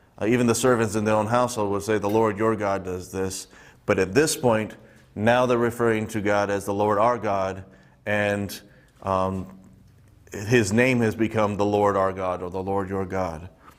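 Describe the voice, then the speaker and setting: The speaker keeps a fairly even intonation at a moderate pace. Audible room echo surrounds the voice. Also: man, fairly low pitch for a man. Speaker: Bible teacher. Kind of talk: Bible study teaching. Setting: church. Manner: halting, many fillers.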